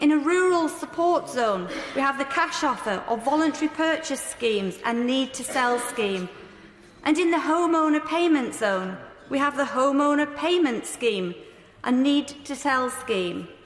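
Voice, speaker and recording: Through noticeable background noise, a woman with a high pitch and lively intonation speaks at a fairly slow pace. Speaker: member of parliament. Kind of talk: parliamentary speech.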